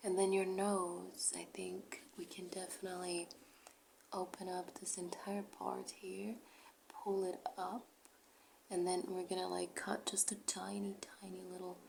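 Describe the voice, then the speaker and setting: A woman talks rather slowly while noticeable noise fills the background. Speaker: ASMR creator doing a doctor roleplay. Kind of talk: ASMR roleplay, personal attention. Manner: soft-spoken, whispering.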